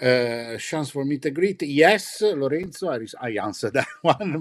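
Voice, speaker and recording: Speaking at a fairly slow pace with an Italian accent, a man uses a fairly high voice and lively intonation. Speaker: livestream host and interpreter. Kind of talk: live stream interview with translation.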